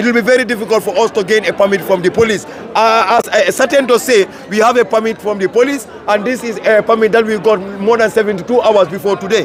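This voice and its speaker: A man talks at a very fast pace in an angry tone, high-pitched with ordinary pitch variation. Noticeable background noise sits behind him. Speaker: student union leader. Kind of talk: press interview. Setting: outdoors at protest. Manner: forceful, can sound angry.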